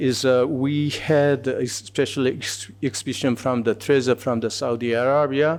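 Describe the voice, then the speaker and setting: Male speech with a Korean accent, medium pitch, moderate pace, ordinary pitch variation and hardly any pauses. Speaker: museum curator. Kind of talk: conference presentation. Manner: halting, many fillers.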